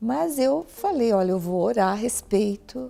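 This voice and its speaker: Fairly slow in pace, a woman talks in a dark, mellow tone. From Brazil, Paraná (Curitiba). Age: 60s. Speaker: pastor. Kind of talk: interview.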